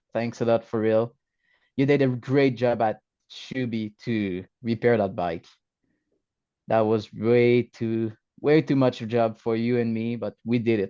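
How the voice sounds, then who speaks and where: Over a quiet background, a man with a French-Canadian accent speaks at a fairly slow pace with long, frequent pauses, his medium pitch, dark, mellow tone and fairly even intonation. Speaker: motorcycle racer. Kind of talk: interview. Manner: halting.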